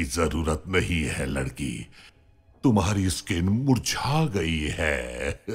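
A man puts on a character voice with a very deep, low pitch. He speaks at a very slow pace. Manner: menacing.

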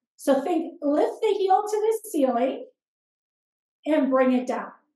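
Audible room echo and a quiet background surround a woman speaking at a fairly slow pace in a calm, dark, mellow tone with lively intonation. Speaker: fitness instructor. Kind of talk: live-style follow-along exercise class cueing reps and breath. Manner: steady rhythmic counting cues, calm and encouraging; gentle, instructive with imperative step-by-step directions. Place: home room.

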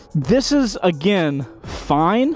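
A man talks over faint background music in a dry recording with no echo. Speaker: motorcycle reviewer. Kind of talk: product review commentary. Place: street. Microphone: camera far.

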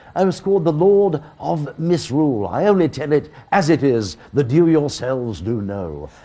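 This man's voice has a dark, mellow tone and fairly high pitch, with very wide pitch swings. He barely pauses at all. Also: moderate pace. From Northern England. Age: 80s+. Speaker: veteran broadcaster. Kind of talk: interview answer. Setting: remote link from home. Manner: flamboyant, wordy. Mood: jovial, theatrical.

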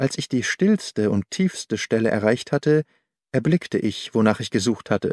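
A man talks at a fairly slow pace in a slightly mellow tone, his pitch swinging widely. The recording is very clean, silent in the background, dry and close with no echo.

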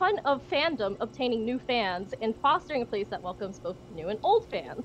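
With noticeable background noise, a woman speaks at a moderate pace using very wide pitch swings. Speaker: panel moderator. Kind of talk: live-streamed convention panel discussion. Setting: video call. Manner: giggly.

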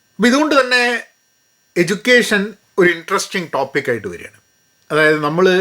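In a raised, projected voice, a man speaks with a bright, sharp tone, a high pitch, very wide pitch swings, and big swings in loudness. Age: 50s. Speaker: career coach. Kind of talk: educational talk. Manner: code-switching Malayalam and English.

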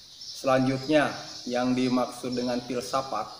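There is noticeable background noise. Over it, a man speaks at medium pitch. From Indonesia. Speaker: YouTube channel creator. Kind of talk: channel introduction monologue. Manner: friendly and straightforward. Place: home room.

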